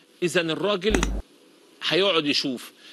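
Against light background noise, a man with a high pitch talks in an animated tone at a moderate pace. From Egypt. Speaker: football pundit; TV presenter. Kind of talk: casual commentary monologue; TV commentary monologue. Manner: animated, repetitive emphasis. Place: studio.

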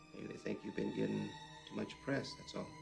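Clear music plays in the background. The speech moves at a very fast pace. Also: man. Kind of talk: film dialogue. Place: home room.

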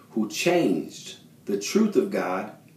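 Male speech, its pitch swinging very widely, with audible echo from the room. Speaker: lay preacher. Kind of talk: sermon. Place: bathroom. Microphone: phone near.

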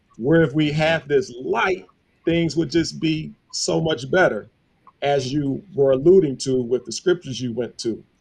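A man with an American accent speaks at a fairly slow pace. His voice is somewhat breathy, with lively intonation. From Buffalo, New York. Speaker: Bible study teacher. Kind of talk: Bible study teaching.

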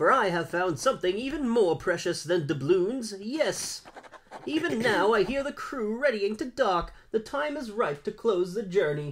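This is a put-on character voice with a fairly high pitch. The pace is moderate. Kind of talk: archaic, theatrical. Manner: pompous.

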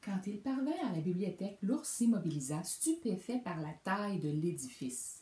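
The passage is plain reading aloud. Its intonation rises and falls in a lively way.

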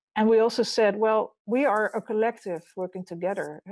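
Against a quiet background and a dry sound with no echo, a woman with a Dutch accent talks at a moderate pace with fairly even intonation. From Netherlands. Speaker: architect and urban designer; architect giving a lecture. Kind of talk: lecture. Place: home room.

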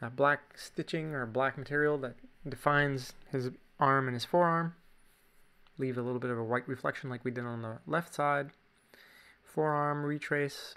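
At a moderate pace, a man speaks in a bright, sharp tone at a fairly high pitch, with fairly even intonation and long, frequent pauses. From Canada. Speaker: drawing teacher. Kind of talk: tutorial. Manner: casual. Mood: relaxed, playful.

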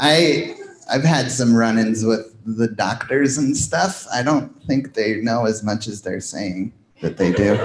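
A man's voice, medium in pitch with ordinary pitch variation, comes through noticeable background noise. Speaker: stand-up comedian. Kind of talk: stand-up. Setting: stage with audience. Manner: animated.

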